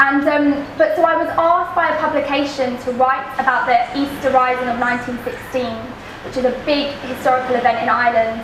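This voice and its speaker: A high-pitched woman at a fairly quick pace, fairly even intonation, noticeable background noise. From East London. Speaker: poet. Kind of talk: talk to a live audience. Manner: casual, rambling.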